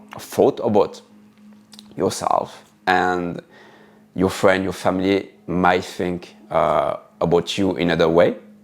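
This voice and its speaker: Fairly slow speech from a man against noticeable background noise. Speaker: spiritual teacher. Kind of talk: spiritual talk. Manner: halting, with frequent fillers and repetitions.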